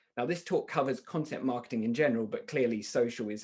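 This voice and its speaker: Against a quiet background, a man talks at a fairly quick pace. He has a British accent. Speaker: software company founder, marketing speaker. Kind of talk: webinar presentation. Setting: online webinar. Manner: fast.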